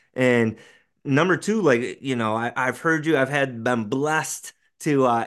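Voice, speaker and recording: Against a quiet background, a man talks at a moderate pace and medium pitch with ordinary pitch variation. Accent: American. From rural Western New York, US. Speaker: elementary school teacher and podcast host. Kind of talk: casual interview chat.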